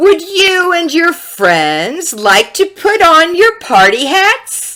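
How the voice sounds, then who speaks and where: At a very slow pace, a woman puts on a character voice pitched extremely high. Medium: read story. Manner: wheedling, sly.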